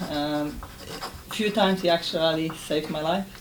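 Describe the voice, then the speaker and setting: Noticeable background noise sits behind a woman with a very deep, low voice. She talks at a moderate pace in a flat monotone. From Poland. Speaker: ESOL exam candidate. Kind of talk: spoken exam presentation.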